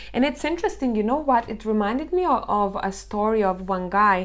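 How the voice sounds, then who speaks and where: This woman has a fairly high pitch, a non-native accent and ordinary pitch variation. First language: Lithuanian. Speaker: tarot reader. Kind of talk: tarot reading to camera. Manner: casual, filler-heavy.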